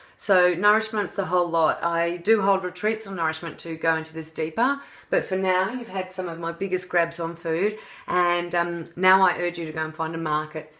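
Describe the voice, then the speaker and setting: In an Australian accent, a woman speaks with a bright, sharp tone. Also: fairly low pitch for a woman. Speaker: health and wellness coach. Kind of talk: tutorial. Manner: animated; fast.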